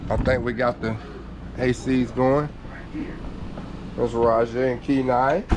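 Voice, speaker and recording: A man's medium-pitched, flat monotone voice with a Georgia accent, at a fairly slow pace with long, frequent pauses and noticeable background noise. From Georgia, US South. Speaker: RV travel vlogger. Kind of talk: casual vlog talk.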